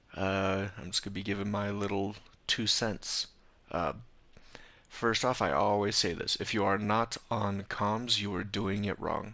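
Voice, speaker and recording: With a quiet background, a man mumbles fairly slowly in a bright, sharp tone with fairly even intonation. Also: fairly low pitch for a man. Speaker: game streamer reviewing gameplay. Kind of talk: live stream gameplay review. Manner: hesitant, many fillers.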